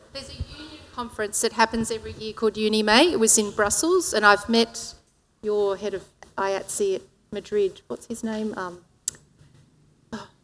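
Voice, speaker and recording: A woman talks at a fairly quick pace in a fairly high pitch, with ordinary pitch variation, big swings in loudness and long, frequent pauses. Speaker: production designer, guild representative. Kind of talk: panel discussion. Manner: fast.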